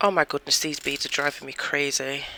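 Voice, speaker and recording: The speech goes at a moderate pace against noticeable background noise. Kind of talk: tutorial. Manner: casual, chatty.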